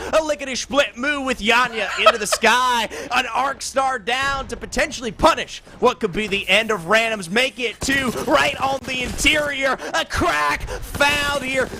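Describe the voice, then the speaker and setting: A man speaks in a raised, projected voice, extremely high-pitched, with ordinary pitch variation. His pace is fairly slow with hardly any pauses, over noticeable background noise. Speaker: esports caster. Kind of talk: live commentary.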